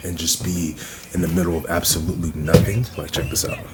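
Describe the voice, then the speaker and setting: Over noticeable background noise, a man speaks quietly in a very deep, low pitch. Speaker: vlogger. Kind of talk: casual vlog talk. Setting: cabin getaway, outdoors/indoors vlog. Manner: quiet, talking low.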